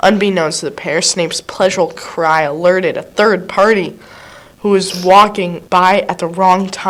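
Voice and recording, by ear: Intonation stays fairly even as the passage is read aloud in a natural voice.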